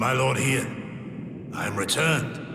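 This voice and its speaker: In a cartoonish character voice, a man speaks at a fairly slow pace and medium pitch, with slight echo and loud background noise. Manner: archaic, formal.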